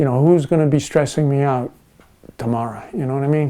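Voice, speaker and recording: This man has a fairly high pitch and a dark, mellow tone. His pitch varies in an ordinary way. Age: 60s. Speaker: retired auto mechanic and car restorer. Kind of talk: documentary interview. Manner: hesitant, many fillers.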